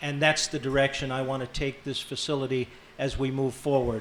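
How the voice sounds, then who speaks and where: At a fairly slow pace, a man speaks in a fairly high voice with monotone, flat intonation. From western Massachusetts, born in Ireland. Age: 60s. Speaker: county sheriff and candidate. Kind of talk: debate opening statement. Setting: grange hall with live audience.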